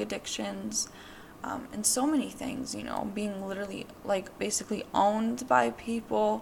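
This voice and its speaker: A woman's voice at a moderate pace amid noticeable background noise. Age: 20s. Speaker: podcast host. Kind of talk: personal monologue. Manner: casual, filler-heavy.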